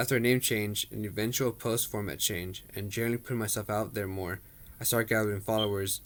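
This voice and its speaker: Speaking very fast, a man keeps a fairly low pitch and fairly even intonation. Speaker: personal trainer. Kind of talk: personal introduction monologue. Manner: read from a script.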